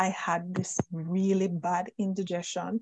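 Somewhat breathy, a woman speaks at a medium pitch. The sound is dry and close, with no echo. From Jamaica. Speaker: plant-based nutrition author. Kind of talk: interview.

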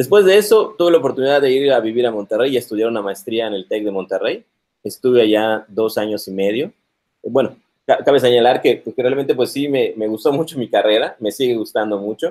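Using a plain, everyday voice, a man of medium pitch talks at a fairly quick pace with lively intonation. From Mexico, Yucatán (Mérida). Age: 40s. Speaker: computer science professor. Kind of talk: interview on live stream.

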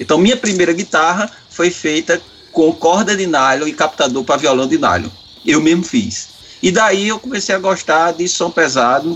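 With noticeable background noise behind him, a man speaks at a moderate pace in a high pitch with lively intonation. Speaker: metal musician. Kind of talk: casual chat.

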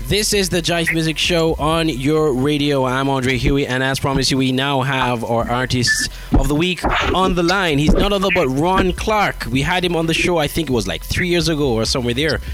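Noticeable background noise accompanies a man whose fairly high-pitched voice stays at a very even loudness. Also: ordinary pitch variation, moderate pace. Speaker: radio host. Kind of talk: radio show hosting.

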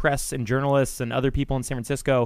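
In a very clean recording with a silent background, a man with a plain, everyday voice and a fairly high pitch talks at a fairly quick pace. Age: 20s. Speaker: podcast host. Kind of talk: interview.

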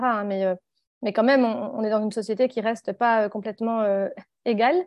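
Her pitch sits fairly high. This woman keeps a moderate pace. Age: 40s. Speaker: author and activist. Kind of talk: interview. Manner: halting.

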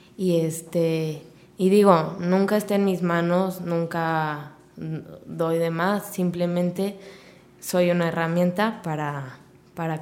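A woman speaks very slowly in a fairly low, flat monotone. The room echo is audible. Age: 20s. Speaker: fitness studio owner. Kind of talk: casual interview.

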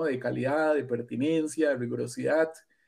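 A man speaks with a dark, mellow tone at a fairly high pitch, using ordinary pitch variation. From Costa Rica, Central Valley near Alajuela. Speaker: forestry engineer and university professor. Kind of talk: interview. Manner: halting, many fillers and repetitions.

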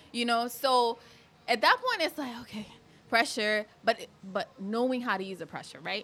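Amid noticeable background noise, a woman with a high pitch and an animated tone speaks with big swings in loudness. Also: ordinary pitch variation, moderate pace. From Kenya (Thika), moved to US at 11. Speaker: beauty pageant titleholder. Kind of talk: casual chat.

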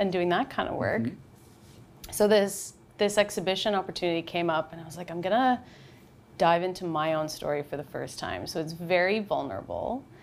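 With a Canadian accent, a woman at medium pitch speaks at a moderate pace in an ordinary speaking voice with lively intonation. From Canada, North Bay, Ontario. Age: 30s. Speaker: documentary photographer. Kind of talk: interview. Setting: studio.

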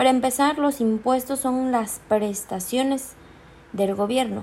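A woman speaks at a fairly slow pace with a dark, mellow tone. Her pitch varies in an ordinary way. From Chiapas, Mexico. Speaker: law student. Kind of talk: student presentation. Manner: formal.

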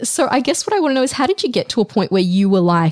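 The speaker has an Australian accent. The sound is dry and close, with no echo. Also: woman. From Australia (moved there as a child). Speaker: podcast host. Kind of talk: interview conversation. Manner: animated.

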